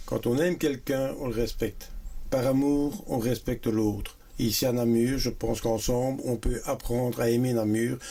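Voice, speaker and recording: A man's dark, mellow voice at a moderate pace, with very even loudness and fairly even intonation. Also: medium pitch for a man. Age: 60s. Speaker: local election candidate. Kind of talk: interview.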